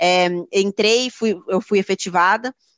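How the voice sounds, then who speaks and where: A woman speaks at a medium pitch. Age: 30s. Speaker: equity research analyst. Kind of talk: interview.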